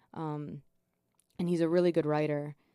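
Soft-spoken and moderate in pace, a woman talks in a dark, mellow tone with a very deep, low pitch. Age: 20s. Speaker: singer-songwriter and photographer. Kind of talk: casual chat. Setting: studio.

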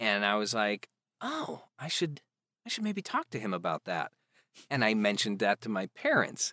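A man with an American accent speaks at a moderate pace in a fairly low voice with ordinary pitch variation. His tone is bright and sharp, and the sound is dry and close with no echo. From US Midwest, Chicago area. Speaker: actor and audiobook narrator. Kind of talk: casual chat. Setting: remote call. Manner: quiet.

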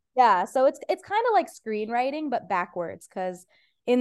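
The speaker has an Iranian accent. The pace is moderate. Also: woman. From Ohio, US Midwest. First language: Farsi. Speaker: stand-up comedian. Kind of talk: casual chat.

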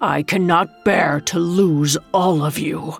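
A woman puts on a character voice, low in pitch with vocal fry and a slightly husky edge. She speaks slowly with fairly even intonation as faint music plays in the background.

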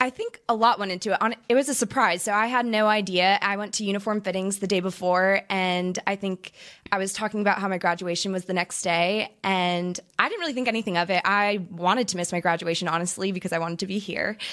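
Speaking very fast with hardly any pauses, a woman has an American accent. Her intonation is fairly even. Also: medium pitch for a woman. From Orange County, California. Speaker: professional cheerleader. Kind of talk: casual interview chat.

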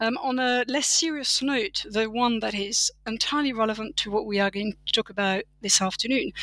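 A woman in a French accent, fairly high-pitched with a bright, sharp tone, ordinary pitch variation and hardly any pauses, in a dry, close sound with no echo. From France. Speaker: political philosophy professor. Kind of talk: academic interview. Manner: frequent fillers (um, you know).

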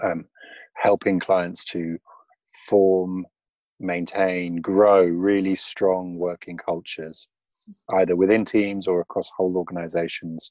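A man with a British accent and a very deep, low pitch, at a moderate pace over a quiet background. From England. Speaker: management consultant. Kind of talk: casual interview chat. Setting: remote call.

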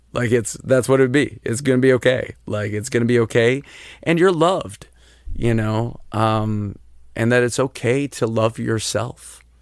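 The speaker has an ordinary speaking voice. The pitch variation is ordinary and the pace moderate. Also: man, medium pitch for a man. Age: 30s. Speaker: musician. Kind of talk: casual chat. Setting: in-person in host's living room.

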